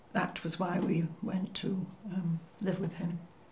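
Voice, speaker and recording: A woman's medium-pitched, monotone, flat voice with audible room echo. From northern England, Cheshire. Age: 90s. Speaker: war-era eyewitness. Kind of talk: oral history interview. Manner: halting, with many fillers.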